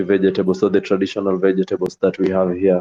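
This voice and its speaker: In a Kenyan accent, a man speaks at a fairly low pitch with monotone, flat intonation. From Western Kenya, Homa Bay County. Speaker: poultry farmer. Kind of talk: casual chat.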